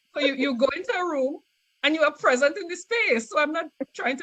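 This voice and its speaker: A woman with a Trinidadian accent talks high and at a fairly quick pace. Her loudness swings widely. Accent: Trinidadian, noticeable. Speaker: scientist. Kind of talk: interview. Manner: halting, many repetitions and fillers.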